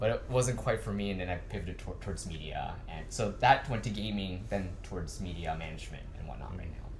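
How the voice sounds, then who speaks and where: The speaker talks at a fairly quick pace with a Californian accent and hardly any pauses. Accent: American, California. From US West Coast, California. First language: Cantonese. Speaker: anime media industry professional. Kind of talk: interview. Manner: casual, with filler words.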